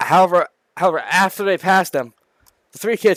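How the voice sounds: Over a quiet background, a natural reading voice carries fairly even intonation.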